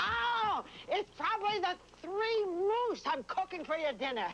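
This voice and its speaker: Over clear background noise, someone uses a put-on character voice with extremely high pitch at a moderate pace. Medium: short film. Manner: brisk, scolding.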